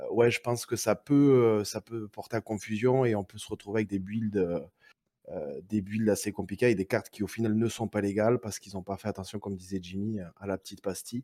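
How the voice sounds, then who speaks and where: Speaking at a fairly quick pace with fairly even intonation, a man with a fairly low pitch and a dark, mellow tone varies widely in loudness, recorded dry and close with no echo on a very clean track with a silent background. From southern France, Perpignan. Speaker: card game community organizer. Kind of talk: casual chat.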